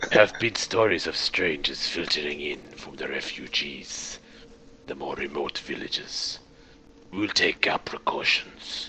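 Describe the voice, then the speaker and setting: Whispering in a put-on character voice at a fairly slow pace, a man swings widely in loudness over clear background noise. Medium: actual play. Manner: curt, threatening.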